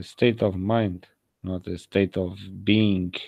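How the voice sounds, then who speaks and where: This man talks in a fairly low voice with a non-native accent. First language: not English. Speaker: video blogger. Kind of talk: monologue video blog.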